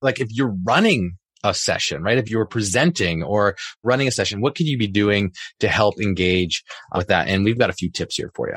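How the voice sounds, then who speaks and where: Here is a man with a plain, everyday voice, pitched fairly low, talking at a fairly quick pace with lively intonation. The recording is very clean, with a silent background. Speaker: podcast host, math teacher. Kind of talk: casual chat, podcast conversation.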